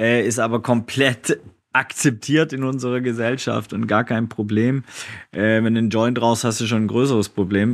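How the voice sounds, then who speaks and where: The man speaks at a moderate pace with ordinary pitch variation. It is an unremarkable speaking voice. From Swabia, southwestern Germany. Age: 40s. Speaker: social entrepreneur. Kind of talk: casual interview.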